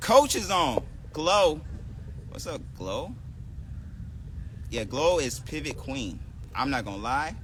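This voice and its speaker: Mumbling at a very slow pace with long, frequent pauses, a fairly high-pitched man uses lively intonation and big swings in loudness, with audible room echo and noticeable background noise. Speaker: skating instructor. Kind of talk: live-streamed tutorial.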